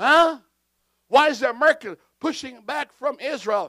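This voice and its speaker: A man projects a raised voice with a bright, sharp tone and ordinary pitch variation, in a dry, close sound with no echo on a very clean recording with a silent background. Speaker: pastor. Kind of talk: sermon. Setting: church with congregation. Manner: deliberately slow for clarity.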